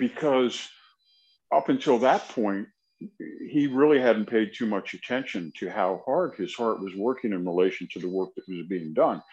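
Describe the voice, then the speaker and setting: A man's normal speaking voice at a medium pitch, moderate pace and lively intonation, over a quiet background. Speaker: podcast co-host. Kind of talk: casual interview chat.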